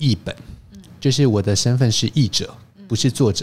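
This man's voice has a dark, mellow tone. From Taiwan. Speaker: wine expert and teacher. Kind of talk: interview.

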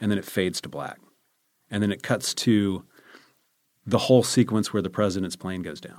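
A man with an American accent speaks at a moderate pace in a fairly low voice, his intonation fairly even. His loudness swings widely, and he pauses often and at length. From US South, Charlotte, North Carolina. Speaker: film director. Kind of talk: casual chat. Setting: studio.

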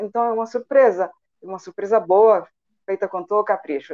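A woman's dark, mellow tone at a fairly high pitch, at a moderate pace. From Chile, Santiago. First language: Spanish (speaking Portuguese). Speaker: entrepreneur and translator. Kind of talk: radio interview.

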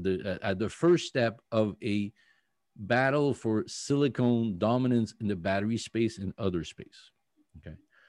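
Against a quiet background, a man with a French accent talks at a medium pitch, the sound dry and close with no echo. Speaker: company CEO. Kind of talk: interview. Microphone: new microphone.

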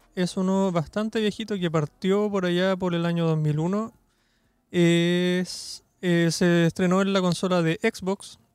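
The speaker is a man with a Chilean accent. His pitch is high. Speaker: podcast panelist. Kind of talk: casual chat.

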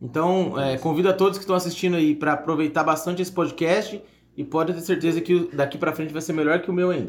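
The speech comes at a very fast pace with fairly even intonation against noticeable background noise. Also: man, high pitch for a man. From São Paulo state, Brazil (São José dos Campos). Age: 30s. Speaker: entrepreneur and singer. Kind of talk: casual chat.

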